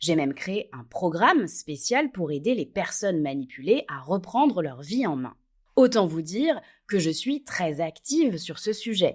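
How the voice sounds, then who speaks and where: At a fairly slow pace, a woman with a medium pitch makes very wide pitch swings and big swings in loudness in a very clean recording with a silent background. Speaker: podcast host, relationship coach. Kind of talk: podcast monologue.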